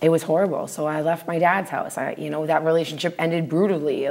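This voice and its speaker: A woman talks at a very fast pace in a fairly low pitch. Noticeable background noise runs under her voice. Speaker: recovering addict sharing her story. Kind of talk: testimony.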